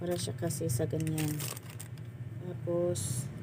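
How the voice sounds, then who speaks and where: The speech comes at a fairly slow pace, with noticeable background noise and audible room echo. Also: woman. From Visayas, Philippines. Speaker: sari-sari store owner vlogger. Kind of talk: tutorial. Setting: inside small store, people outside. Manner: softened voice, quiet.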